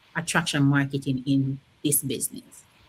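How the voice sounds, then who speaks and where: This woman speaks with a Caribbean accent. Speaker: interview host, online business coach. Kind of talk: interview.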